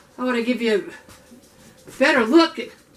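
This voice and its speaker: High-pitched woman's voice at a moderate pace, with ordinary pitch variation and noticeable background noise. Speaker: home canning cooking channel host. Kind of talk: cooking tutorial. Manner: casual, chatty.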